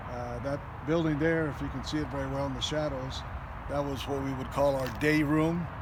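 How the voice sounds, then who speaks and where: There is audible room echo and noticeable background noise. A man with an American accent speaks at a moderate pace. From Long Beach, California. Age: 70s. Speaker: army veteran. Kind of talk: casual recollection on a site tour. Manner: hesitant, many fillers.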